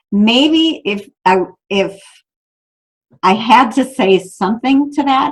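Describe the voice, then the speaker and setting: Somewhat breathy, a woman's voice moves through very wide pitch swings. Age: 60s. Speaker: author and abuse survivor. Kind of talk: interview.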